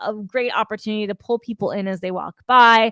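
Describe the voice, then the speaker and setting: A woman's unremarkable speaking voice, an unremarkable speaking voice at a fairly high pitch, with fairly even intonation and a moderate pace, dry and close with no echo against a quiet background. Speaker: PR consultant webinar host. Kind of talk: webinar presentation. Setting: online webinar.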